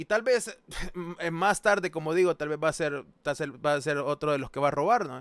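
Recorded dry and close with no echo over a silent background, a man speaks at a moderate pace with a fairly high pitch and ordinary pitch variation. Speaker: streamer hosting discussion. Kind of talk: casual chat.

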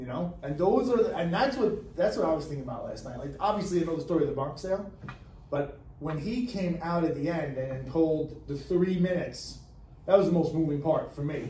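This man has a high pitch and ordinary pitch variation, moving at a fairly quick pace. Audible room echo surrounds his voice. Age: 40s. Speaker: podcast co-host. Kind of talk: casual chat.

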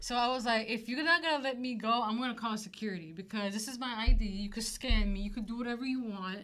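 A woman's animated, fairly quick delivery with audible room echo. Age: 20s. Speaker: podcast co-host, former server. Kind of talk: casual chat.

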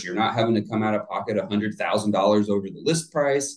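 At a moderate pace, a man with an ordinary speaking voice and an American accent talks at a fairly low pitch with ordinary pitch variation. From US South, Florida (Plant City). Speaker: real estate agent. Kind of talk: casual chat.

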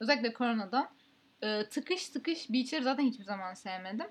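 A woman talks at a fairly quick pace in a plain, everyday voice. Her pitch is fairly high. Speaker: podcast host. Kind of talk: casual chat.

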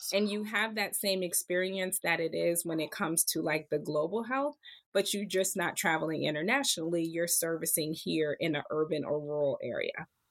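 An unremarkable speaking voice with an American accent, moderate pace, ordinary pitch variation and hardly any pauses, on a very clean recording with a silent background. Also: woman, fairly low pitch for a woman. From Pennsylvania, Harrisburg. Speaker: physician and medical school admissions leader. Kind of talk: interview.

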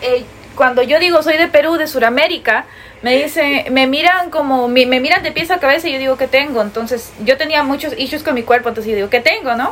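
A woman with a high pitch and ordinary pitch variation speaks at a fairly quick pace amid noticeable background noise. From Peru, with early US childhood. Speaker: podcast co-host. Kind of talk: casual chat.

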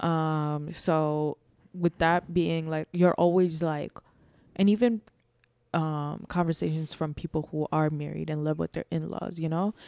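A woman's very deep, low voice, dark and mellow in tone, fairly slow, with fairly even intonation and a dry, close sound free of echo. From New York, born in Bangladesh. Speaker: podcast co-host, mother. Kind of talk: casual chat.

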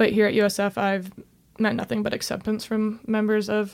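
At a moderate pace, the speech comes across monotone and flat on a very clean recording with a silent background. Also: woman. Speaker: college soccer goalkeeper. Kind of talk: casual interview.

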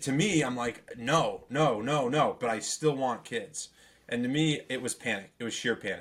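A man talks in a plain, everyday voice at a medium pitch. His pitch varies in an ordinary way. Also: moderate pace. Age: 30s. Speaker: podcast co-host. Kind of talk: casual chat.

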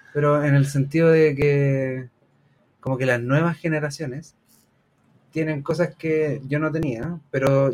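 A man with a Chilean accent speaks. His pitch is fairly high, and his intonation stays fairly even. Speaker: teacher and podcast co-host. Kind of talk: casual chat.

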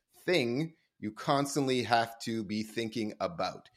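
Man speaking in an animated tone at a fairly slow pace. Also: quiet background. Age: 40s. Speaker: sales executive at a permaculture company. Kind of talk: podcast interview.

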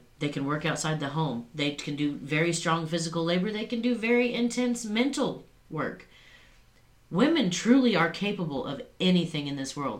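A woman's fairly low voice at a moderate pace, with very wide pitch swings and audible room echo. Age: 40s. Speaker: podcast co-host. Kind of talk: casual chat.

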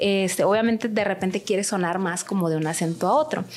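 Through noticeable background noise comes a woman's medium-pitched voice with ordinary pitch variation. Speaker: language school director and translator. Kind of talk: interview.

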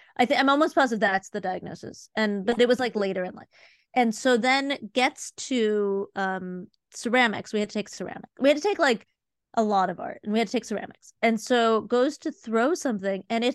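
In a normal speaking voice with an American accent, a woman speaks at a fairly high pitch with ordinary pitch variation, the sound dry and close with no echo against a quiet background. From US Midwest, Cleveland Ohio. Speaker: museum consultant and art educator. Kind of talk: casual interview. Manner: fast, filler-heavy.

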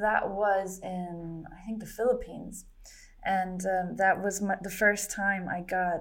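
The speaker is a woman with a medium pitch. She talks with a German accent. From Germany. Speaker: comic artist and entrepreneur. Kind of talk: casual interview. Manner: halting, many repetitions and fillers.

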